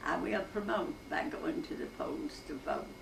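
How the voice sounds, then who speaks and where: A woman with an Appalachian accent at a very slow pace, very wide pitch swings, over noticeable background noise. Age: 80s+. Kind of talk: poetry reading.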